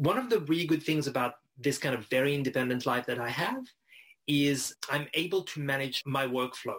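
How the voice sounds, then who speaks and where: A man with a French accent and a fairly high pitch speaks at a fairly quick pace. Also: ordinary pitch variation. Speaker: writer and editor, freelancer. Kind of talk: interview conversation.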